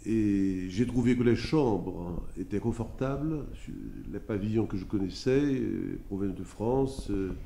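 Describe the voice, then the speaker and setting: A man speaks at a very slow pace with a medium pitch and ordinary pitch variation. His tone is dark and mellow, and the room echo is audible. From Haiti. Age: 70s. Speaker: lawyer, former student resident. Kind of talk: interview testimony, reminiscing. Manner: hesitant, many filler sounds.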